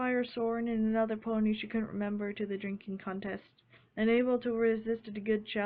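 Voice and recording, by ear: Someone is reading aloud in a natural voice. The delivery is read, not spoken freely.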